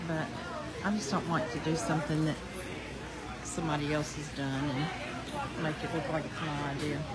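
Crowd noise fills the background as a woman speaks at a moderate pace. She leaves long, frequent pauses. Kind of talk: casual vlog chat. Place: market. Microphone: phone near.

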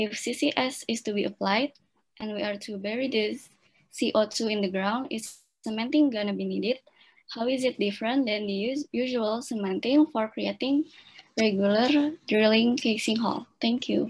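Somewhat breathy, a woman speaks at a moderate pace. Her pitch varies in an ordinary way. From Indonesia. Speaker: event moderator. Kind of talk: formal moderation. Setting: video call. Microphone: video call.

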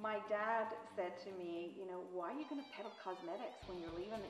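A woman speaks with ordinary pitch variation while clear music plays in the background. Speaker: sales business owner. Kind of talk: interview answer. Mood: warm, reflective, sometimes laughing. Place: home room. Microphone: lapel.

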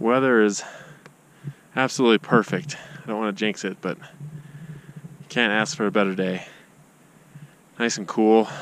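A man at a moderate pace with ordinary pitch variation and long, frequent pauses, over light background noise in a dry sound with no echo. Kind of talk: casual vlog chat. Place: open country. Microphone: phone near.

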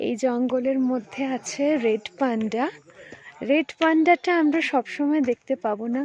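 A woman's high voice comes across dry and close with no echo, though noticeable background noise is present. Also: ordinary pitch variation. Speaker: trek group member. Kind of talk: travel vlog commentary. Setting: outdoors in forest.

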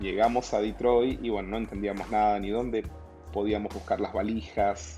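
A man's fairly low voice at a moderate pace, with fairly even intonation and faint music in the background. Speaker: guest. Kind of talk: interview answer. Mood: warm, reflective, some laughs. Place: office. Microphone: video call.

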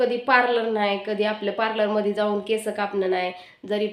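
There is noticeable background noise as a woman speaks in a fairly high voice. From rural Maharashtra, India. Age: 30s. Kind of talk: personal life story vlog.

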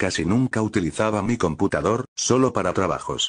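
Recorded dry and close with no echo against a quiet background, a man speaks at a fairly slow pace with ordinary pitch variation. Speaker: gaming youtuber. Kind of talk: ghost story telling, creepypasta narration.

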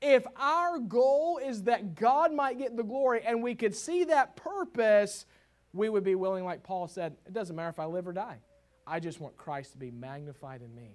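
Here a man speaks with a Southern US accent at a high pitch. His pitch swings very widely. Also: moderate pace. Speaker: pastor. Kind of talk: sermon. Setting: church.

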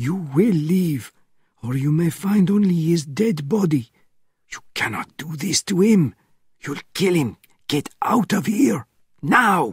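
Long, frequent pauses break up a man's whispering. He goes at a fairly slow pace. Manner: urgent, whispering.

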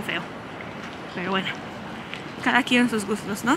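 A woman speaks over noticeable background noise. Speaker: travel vlogger. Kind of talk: walking tour vlog. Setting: outdoors walking in city.

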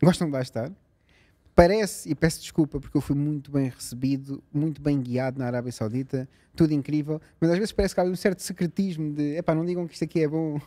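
Over a quiet background, a man with a dark, mellow tone talks at a fairly quick pace with lively intonation. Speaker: podcast guest. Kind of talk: interview answer. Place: home room. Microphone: studio mic.

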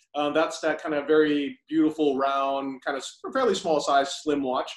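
Against a quiet background with audible room echo, a man with a fairly high pitch speaks at a moderate pace in a monotone, flat way. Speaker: magazine founder; interviewer. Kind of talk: casual interview. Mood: warm, admiring. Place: home room. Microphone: poor sound; video call.

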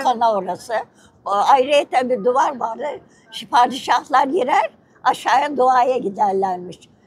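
The woman has a high voice. Her pace is fairly slow. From Istanbul, Turkey. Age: 80s+. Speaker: interviewee. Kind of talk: interview answer. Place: street. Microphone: lapel.

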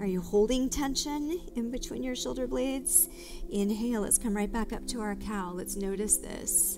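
Clear music in the background, with speech at a moderate pace. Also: woman. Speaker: yoga instructor. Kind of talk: guided exercise instruction. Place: studio.

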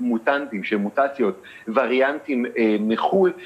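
At a moderate pace, the man delivers his words. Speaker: news correspondent. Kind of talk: live news report answer. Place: home room.

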